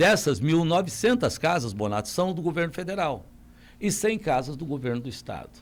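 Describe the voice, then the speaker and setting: Moving at a fairly quick pace, a man's fairly high voice swings very widely in pitch. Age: 60s. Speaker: mayoral candidate. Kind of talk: radio interview.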